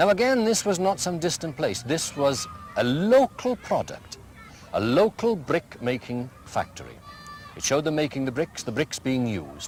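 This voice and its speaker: A man speaks at a fairly high pitch with a Welsh accent, his pitch swinging very widely. Noticeable background noise sits behind him. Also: moderate pace. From Wales. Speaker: school headmaster. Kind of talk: interview.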